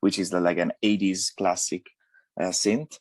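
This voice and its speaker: A man in an Italian accent, flat and monotone, with a dry, close sound with no echo on a very clean recording over a silent background. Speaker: DJ, producer and musician. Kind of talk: radio interview. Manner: halting, many fillers and restarts.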